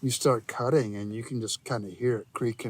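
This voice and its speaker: A man's medium-pitched voice, an unremarkable speaking voice, ordinary pitch variation throughout. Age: 60s. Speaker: landowner helping with habitat work. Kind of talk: casual chat. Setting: outdoors.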